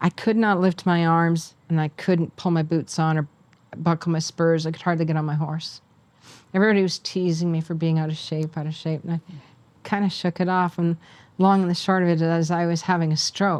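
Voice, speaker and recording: A woman with a Canadian accent, fairly low in pitch, monotone and flat in intonation, at a fairly quick pace. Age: 60s. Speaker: horse trainer and author. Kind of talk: interview.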